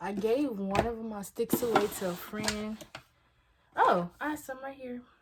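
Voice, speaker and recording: Noticeable background noise fills the recording. Over it, a woman talks with ordinary pitch variation. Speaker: vlogger. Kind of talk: casual vlog monologue.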